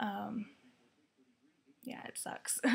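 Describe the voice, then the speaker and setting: A soft-spoken woman talks over light background noise. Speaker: vlogger and student; vlogger. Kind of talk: casual vlog. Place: home room. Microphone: webcam.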